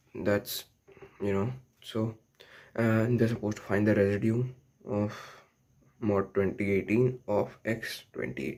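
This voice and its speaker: Here a man speaks with a non-native accent. His pitch is fairly low, and his intonation is lively. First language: not English. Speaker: math tutorial youtuber. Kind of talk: tutorial. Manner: casual, many fillers.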